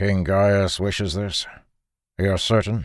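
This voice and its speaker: Growling and gruff, a man does a put-on character voice at a fairly low pitch and fairly slow pace on a very clean recording with a silent background. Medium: read story. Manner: gruff, blunt.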